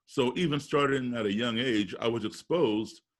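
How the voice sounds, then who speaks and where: With lively intonation, a man speaks with vocal fry. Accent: American. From US, raised partly abroad as embassy kid. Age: 60s. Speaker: musician and race relations speaker. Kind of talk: interview.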